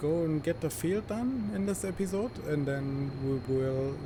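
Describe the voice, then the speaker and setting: A man speaks at a moderate pace with a strong German accent and ordinary pitch variation. Noticeable background noise sits behind him. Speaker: gaming YouTuber. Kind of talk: gameplay commentary. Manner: casual, hesitant with many fillers.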